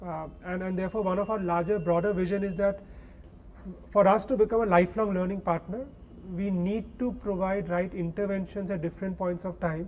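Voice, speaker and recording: Talking at a fairly quick pace, a man uses a high-pitched voice with fairly even intonation. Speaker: edtech company co-founder answering audience questions. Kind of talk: Q&A answer at orientation event.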